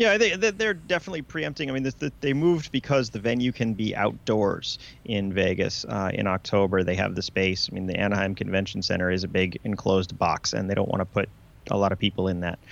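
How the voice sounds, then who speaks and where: A man with an ordinary speaking voice talks at a fairly low pitch. His pace is fairly quick and his intonation lively. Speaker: co-host. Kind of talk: casual chat. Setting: studio.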